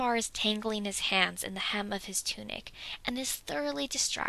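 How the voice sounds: Simply a natural reading voice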